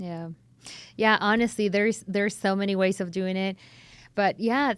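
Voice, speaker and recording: A woman speaking at a moderate pace on a very clean recording with a silent background. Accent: Spanish. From Chile. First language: Spanish. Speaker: podcast host, realtor. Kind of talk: interview.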